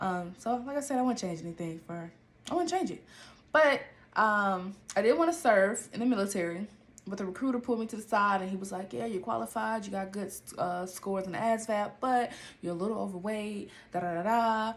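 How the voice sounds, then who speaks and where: Fairly quick, animated speech from a woman with an American accent, lively intonation and medium pitch. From Atlanta, Georgia (US South). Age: 20s. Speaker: podcast host. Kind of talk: casual monologue.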